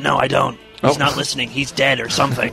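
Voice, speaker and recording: A man uses a put-on character voice at a medium pitch and a very fast pace, with clear music in the background. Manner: depressed, dejected.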